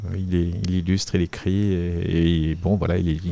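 A man with a very deep voice and a dark, mellow tone speaks fairly slowly. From Paris area, France. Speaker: comic book author and illustrator. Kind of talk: interview. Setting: artist's studio. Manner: halting, with frequent repetitions and fillers.

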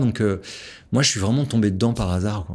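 A man's fairly low-pitched voice, an unremarkable speaking voice with ordinary pitch variation, very cleanly recorded against a silent background. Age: 40s. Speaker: entrepreneur and author. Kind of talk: interview.

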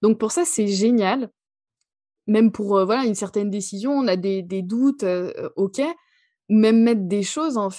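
A woman's fairly high voice has a dark, mellow tone. The sound is dry and close with no echo, on a very clean recording with a silent background. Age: 30s. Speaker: hypnotherapist and numerologist. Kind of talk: interview.

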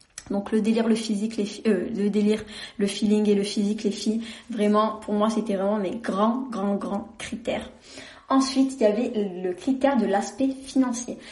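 There is audible room echo as a woman with a fairly high pitch speaks at a moderate pace. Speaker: podcast host. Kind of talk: casual monologue. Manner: monotone.

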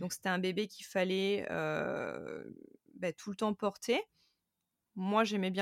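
In a very clean recording with a silent background and a dry, close sound without echo, the speaker goes at a fairly slow pace with long, frequent pauses and big swings in loudness. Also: woman. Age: 30s. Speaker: content creator and podcaster. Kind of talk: interview testimony. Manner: hesitant, many fillers.

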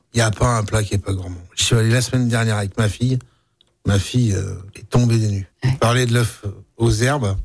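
A somewhat breathy male voice at a medium pitch, with fairly even intonation and a fairly quick pace. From Auvergne (Puy-de-Dôme). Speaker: butcher. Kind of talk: radio interview. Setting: studio.

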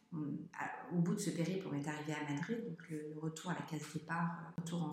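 A woman's very deep, low voice at a moderate pace, fairly even in intonation, with audible room echo. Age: 40s. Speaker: traveling parent. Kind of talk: interview. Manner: halting.

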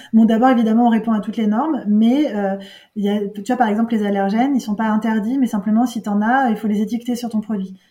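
A woman rattles along at a very fast pace in a fairly high voice with monotone, flat intonation. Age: 40s. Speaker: entrepreneur. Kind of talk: interview. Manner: halting.

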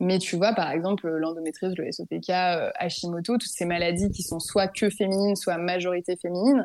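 Speaking at a fairly quick pace, a woman uses a plain, everyday voice that sits fairly low, with ordinary pitch variation. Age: 20s. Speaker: work psychologist. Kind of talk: testimony.

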